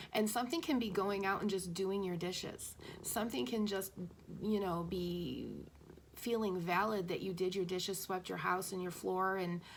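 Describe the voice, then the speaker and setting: Amid audible room echo, a woman speaks in a medium pitch with fairly even intonation. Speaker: spiritual channeler / intuitive messenger. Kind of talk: spiritual message monologue. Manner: fast; hesitant, stumbling over words.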